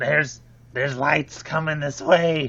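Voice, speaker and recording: Raspy and fairly high in pitch, a man speaks. He is using a put-on character voice. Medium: actual play. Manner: literal, cautious.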